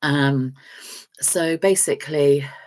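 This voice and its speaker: A woman talks at a very deep, low pitch, with ordinary pitch variation. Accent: English. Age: 60s. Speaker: vlogger. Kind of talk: casual chat. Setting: live stream. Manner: hesitant, many fillers.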